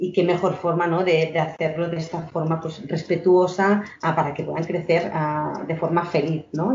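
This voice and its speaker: The woman has a plain, everyday voice with a fairly low pitch. She speaks at a moderate pace. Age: 30s. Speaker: emotional education entrepreneur. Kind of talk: podcast interview.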